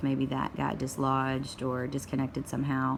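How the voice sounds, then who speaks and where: A woman's very deep, low voice in a Tennessee accent, with monotone, flat intonation. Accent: Tennessee Southern. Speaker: parent sharing a phone fix. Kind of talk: home tutorial. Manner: casual, hesitant with many fillers.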